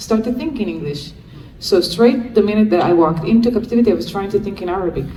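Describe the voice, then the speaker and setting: A woman with an Israeli accent speaks with lively intonation. Noticeable background noise and audible room echo fill the recording. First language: Hebrew. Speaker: freed hostage and advocate. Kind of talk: Q&A talk.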